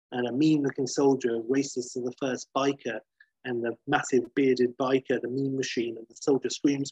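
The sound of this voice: Over a quiet background, fairly even intonation in an unforced reading voice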